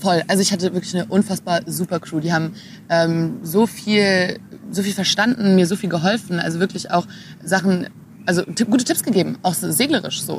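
Very fast speech over noticeable background noise. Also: woman. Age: 20s. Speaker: sailing skipper and engineering student. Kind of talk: casual interview. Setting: in person, Berlin.

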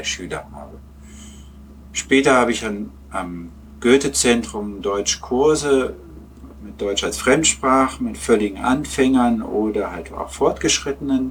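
Vocal fry runs through a man's fairly low-pitched voice as he speaks at a fairly slow pace. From Lower Saxony, Germany (Peine). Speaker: German teacher and football fan. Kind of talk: casual interview. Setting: remote online call.

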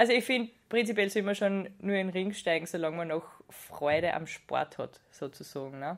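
The speaker is a woman with an ordinary speaking voice. Her pitch shifts with ordinary variation. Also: medium pitch for a woman, moderate pace. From Austria, Styria (Judenburg). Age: 20s. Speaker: wrestler and pharmaceutical scientist. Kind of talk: interview.

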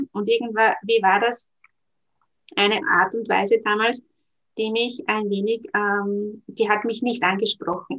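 The delivery is fairly slow and fairly even in intonation, broken by long, frequent pauses. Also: woman, fairly high pitch for a woman. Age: 40s. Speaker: network marketing entrepreneur and career counsellor. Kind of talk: interview. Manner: hesitant, many filler sounds.

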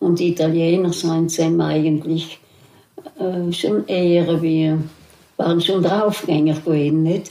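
A woman talks at a very slow pace with long, frequent pauses and fairly even intonation, at a very even loudness. Noticeable background noise runs under her. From South Tyrol, Italy. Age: 80s+. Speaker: contemporary witness. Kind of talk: oral history interview. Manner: halting.

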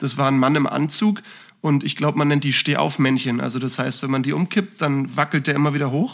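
A man with a plain, everyday voice and a fairly high pitch speaks at a fairly quick pace. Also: fairly even intonation. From northern Germany, Hamburg. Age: 20s. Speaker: financial consultant and managing director. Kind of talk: casual podcast interview.

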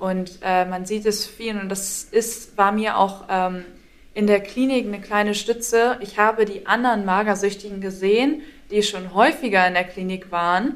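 A woman's medium-pitched voice with fairly even intonation at a moderate pace. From northern Germany, Schleswig-Holstein. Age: 20s. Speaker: university student sharing recovery story. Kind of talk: interview testimony.

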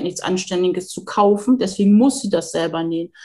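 The woman's voice is somewhat breathy. Her pace is moderate and her pitch varies in an ordinary way. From northern Germany, near Hamburg. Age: 40s. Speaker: home sewing hobbyist. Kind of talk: casual interview chat. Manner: halting, many fillers.

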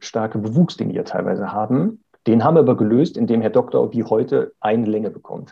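This man has a plain, everyday voice. His pace is moderate. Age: 40s. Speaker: dog trainer. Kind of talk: interview.

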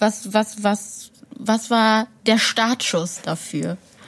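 A woman speaks in a fairly high, somewhat breathy voice with ordinary pitch variation. The recording is very clean with a silent background. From Ruhr area, Essen. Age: 20s. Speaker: project assistant. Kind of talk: interviewing.

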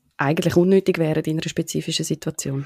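Very fast, monotone, flat speech in a dry, close sound with no echo. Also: woman. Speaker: podcast host. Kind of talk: interview.

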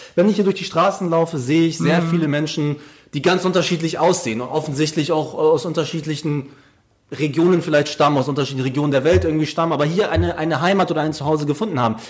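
A man's fairly high voice with ordinary pitch variation, at a very fast pace. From Hamburg, northern Germany. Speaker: podcast host. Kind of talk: casual interview.

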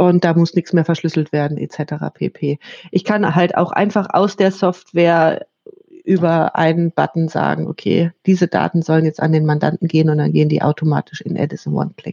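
At a moderate pace, a woman with a normal speaking voice and fairly low pitch talks with fairly even intonation in a dry, close recording with no echo. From northern Germany, Hannover. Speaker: tax software company representative. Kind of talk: interview.

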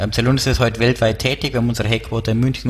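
A man with a Bavarian accent, monotone and flat, over noticeable background noise. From Bavaria, near Erding. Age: 30s. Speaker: startup co-founder. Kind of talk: interview.

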